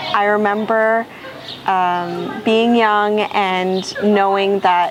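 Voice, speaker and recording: Over noticeable background noise, a woman with a Canadian accent talks at a medium pitch with fairly even intonation. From Canada (Toronto), from age five. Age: 20s. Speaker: recent university graduate and former refugee. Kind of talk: personal testimony interview.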